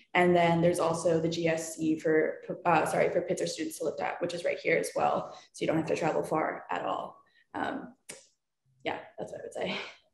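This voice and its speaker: Audible room echo surrounds a woman with an American accent speaking at a moderate pace. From Philadelphia, US. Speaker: college student athlete; panelist. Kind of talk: Q&A panel. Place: home room. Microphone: video call.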